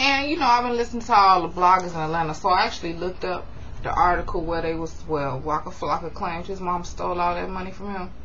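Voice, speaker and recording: Amid noticeable background noise and audible room echo, a woman with a fairly low pitch speaks at a very fast pace in an animated tone. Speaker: YouTube reality TV recap vlogger. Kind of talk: casual TV recap vlog.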